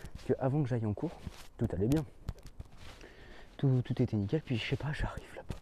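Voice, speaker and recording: A man talks at a fairly quick pace and medium pitch. His tone is dark and mellow, with ordinary pitch variation. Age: young. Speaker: student vlogger. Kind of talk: casual vlog. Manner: fast.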